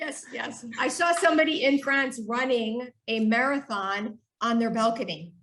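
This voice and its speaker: A woman with a high pitch speaks at a fairly slow pace. Her intonation is lively, with an American accent. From United States. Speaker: human movement scientist. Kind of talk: podcast interview.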